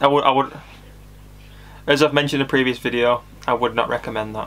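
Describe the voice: The tone is fairly bright and the pace fairly quick. Intonation stays fairly even. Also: man, medium pitch for a man.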